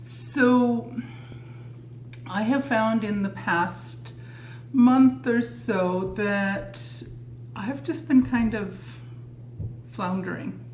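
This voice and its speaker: A woman's medium-pitched voice at a very slow pace, with long, frequent pauses, very wide pitch swings, audible room echo and noticeable background noise. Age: 60s. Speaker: lifestyle vlogger. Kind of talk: casual tutorial.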